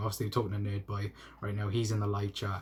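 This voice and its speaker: A man with a Welsh accent has a fairly low, somewhat breathy voice. The recording is very clean, with a silent background. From South Wales. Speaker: YouTube football fan channel host. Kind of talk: live stream chat. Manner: stutter; casual, hesitant with fillers.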